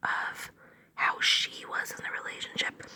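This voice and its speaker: A voice whispers. Behind it, background noise is clearly audible. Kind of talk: tarot reading. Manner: whispered.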